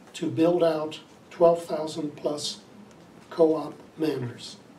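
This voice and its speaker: Over noticeable background noise, a man with an American accent speaks very slowly in a fairly high, flat monotone. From Ohio, USA. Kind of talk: interview answer.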